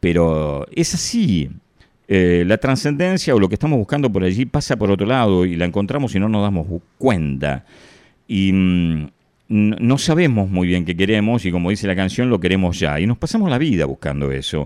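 A man with a Rioplatense accent, fairly low in pitch, very wide pitch swings, moderate pace. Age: 60s. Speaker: radio host. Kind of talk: reflective monologue. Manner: casual, conversational.

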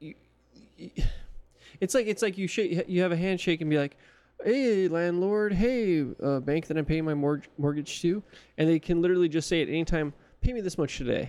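A man with a Californian accent talks at a fairly quick pace, using a high pitch and ordinary pitch variation in a dark, mellow tone. He leaves long, frequent pauses. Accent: California. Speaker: podcast co-host. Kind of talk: casual chat.

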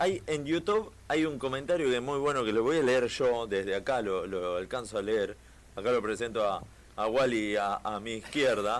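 A man speaks at a medium pitch in a Rioplatense accent. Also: ordinary pitch variation, moderate pace. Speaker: radio host. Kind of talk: casual chat. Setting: studio.

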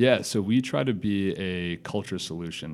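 A man speaks with a very deep, low pitch. His pitch variation is ordinary. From US Midwest, Madison, Wisconsin. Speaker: startup founder. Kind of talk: interview. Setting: studio.

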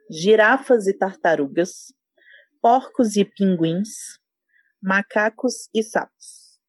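Her intonation lively, a woman speaks at a very slow pace and a medium pitch. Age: 30s. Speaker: podcast guest, product designer. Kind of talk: casual chat, quiz game.

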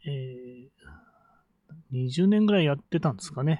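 This man's voice is fairly high, with lively intonation. The sound is dry and close, with no echo. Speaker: business coach and podcaster. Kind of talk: solo podcast monologue. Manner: many fillers and hesitations.

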